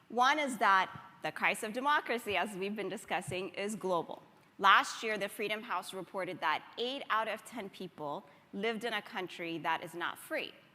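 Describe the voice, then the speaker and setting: In an American accent, a woman with an unremarkable speaking voice talks at a moderate pace and medium pitch, her intonation lively. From Ethiopia. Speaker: democracy organization leader. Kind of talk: conference talk.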